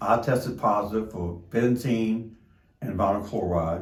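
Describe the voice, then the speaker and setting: Audible room echo surrounds a man whose somewhat breathy, fairly low voice shows ordinary pitch variation. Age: 60s. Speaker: derailment-affected resident. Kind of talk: testimony.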